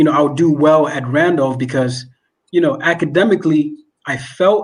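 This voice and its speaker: Speaking fairly quickly with a non-native accent, a man uses a fairly high pitch with ordinary pitch variation. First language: not English. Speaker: management consultant. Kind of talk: interview. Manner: frequent fillers and repetitions.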